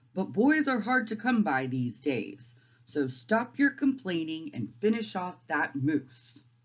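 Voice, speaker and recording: A gruff, put-on character voice at middle pitch. The pitch swings very widely while the pace stays fairly slow. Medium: read story. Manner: gruff, barking.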